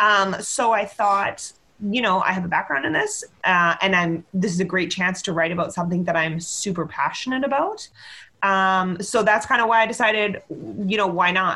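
A woman with a Canadian accent, medium in pitch and bright and sharp in tone, with ordinary pitch variation at a moderate pace. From Victoria, western Canada. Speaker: squash writer. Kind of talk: casual chat.

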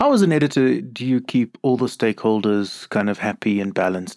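A man with a fairly low pitch talks at a fairly quick pace in an ordinary speaking voice. The sound is dry and close with no echo, on a very clean recording with a silent background. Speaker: podcast host and Jesuit priest. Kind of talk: interview. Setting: in-person recording.

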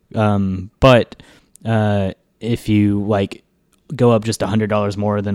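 The recording is very clean, with a silent background. A man with an ordinary speaking voice and fairly low pitch keeps his intonation fairly even. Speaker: podcast co-host. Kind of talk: casual chat.

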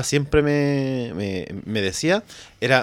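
A man's medium-pitched voice with a Chilean accent. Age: 30s. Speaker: tourism teacher, contest winner guest. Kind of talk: casual chat.

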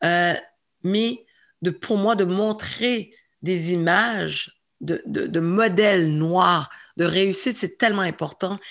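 Speaking at a very slow pace with long, frequent pauses, a woman holds a medium pitch. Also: ordinary pitch variation. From Montreal, Quebec (Saint-Michel). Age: 40s. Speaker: entrepreneur and former comedian. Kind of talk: interview.

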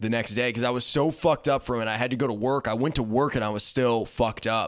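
On a very clean recording with a silent background, a man with a plain, everyday voice and a medium pitch speaks at a moderate pace with ordinary pitch variation. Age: 20s. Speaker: podcast co-host. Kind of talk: casual chat.

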